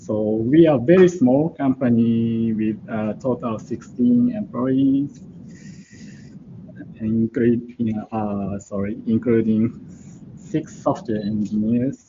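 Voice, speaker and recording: Speaking at a very slow pace with a Japanese accent, a man uses a medium pitch and ordinary pitch variation. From Japan, Hokkaido. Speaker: embedded programmer. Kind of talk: conference talk. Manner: halting.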